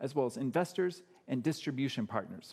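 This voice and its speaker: With an American accent, a man talks in very wide pitch swings marked by vocal fry. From US Midwest, Chicago. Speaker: medical startup founder, anesthesiology doctor. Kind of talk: pitch presentation.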